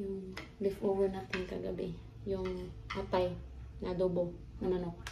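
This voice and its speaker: A woman talks over noticeable background noise, and audible room echo surrounds her voice. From Philippines, Bohol. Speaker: vlogger. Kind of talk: cooking vlog.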